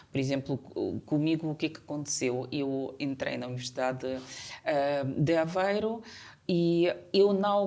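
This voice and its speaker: A woman with a Ukrainian accent speaks at a fairly slow pace. Her voice is very deep and low, with a dark, mellow tone. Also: ordinary pitch variation. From Ukraine. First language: Ukrainian (speaking Portuguese). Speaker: community association representative. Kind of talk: interview. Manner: halting.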